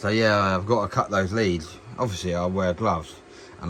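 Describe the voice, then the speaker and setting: In an English accent, a man speaks at a moderate pace. His pitch is fairly low, with monotone, flat intonation. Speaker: YouTuber testing tools. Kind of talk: casual product demonstration. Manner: casual, hesitant with many ums.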